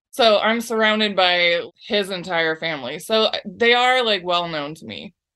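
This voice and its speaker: A woman with an unremarkable speaking voice talks at a moderate pace. Her intonation is lively. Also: medium pitch for a woman, big swings in loudness. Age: 30s. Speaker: advice seeker. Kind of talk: casual chat.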